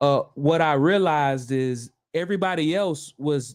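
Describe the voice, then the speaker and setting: Slight Southern US accent against a quiet background. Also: man. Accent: slight Southern twang. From US South (Florida). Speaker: trainer and online business streamer. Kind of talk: live stream monologue. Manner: halting, many repetitions and fillers.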